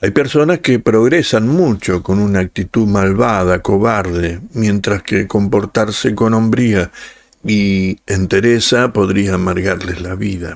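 In a Rioplatense accent, a man speaks in a solemn tone at a very slow pace, his pitch fairly low with ordinary pitch variation. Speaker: audiobook narrator and channel host. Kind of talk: scripted narration, dramatic reading aloud of a literary story. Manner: slow, solemn, expressive, lamenting, with pauses; shifts into a curt, stern boss voice for quoted dialogue.

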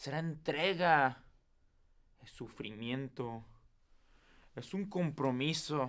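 A man's fairly high voice at a very slow pace, broken by long, frequent pauses. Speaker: performer. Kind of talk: eulogy, farewell speech to mother, wife and daughter. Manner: tearful, choked with emotion, tender and pleading.

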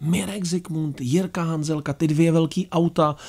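A man talks at a moderate pace. Nothing much stirs in the quiet background. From Czech Republic. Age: 40s. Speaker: documentary filmmaker and traveller; guest. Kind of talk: radio interview. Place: studio. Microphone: studio mic.

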